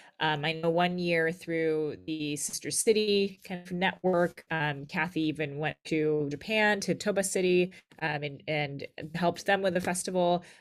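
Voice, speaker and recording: A woman with an American accent speaks in an ordinary speaking voice, at a fairly slow pace, with fairly low pitch and fairly even intonation. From California. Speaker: arts nonprofit director. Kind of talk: interview.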